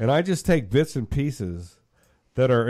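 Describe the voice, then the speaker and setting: On a very clean recording with a silent background, a man with an unremarkable speaking voice talks at a fairly slow pace and a medium pitch, with lively intonation. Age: 60s. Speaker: live stream host. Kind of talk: casual chat.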